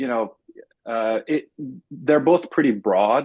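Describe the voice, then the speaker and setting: A man speaks in a Persian accent. His pitch varies in an ordinary way. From Iran. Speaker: engineer and startup founder. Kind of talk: interview. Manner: many fillers, halting.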